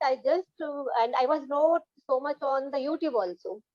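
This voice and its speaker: In a Punjabi Indian accent, a woman with a high pitch and a dark, mellow tone talks at a moderate pace with ordinary pitch variation, in a dry, close sound with no echo. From Punjab, India. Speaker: English learner. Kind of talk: casual chat. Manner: halting.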